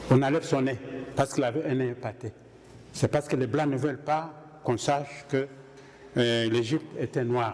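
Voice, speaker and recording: Over noticeable background noise, a man with an eastern Congolese accent speaks at a medium pitch and a moderate pace, his intonation fairly even and broken by long, frequent pauses. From DR Congo. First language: Kihunde (speaking French). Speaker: conference speaker. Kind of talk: Q&A discussion.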